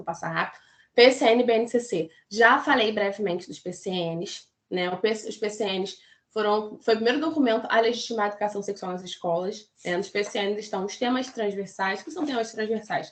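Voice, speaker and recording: This woman's voice sits fairly high in pitch, with ordinary pitch variation. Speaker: pedagogy student presenter. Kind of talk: academic talk. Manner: fast.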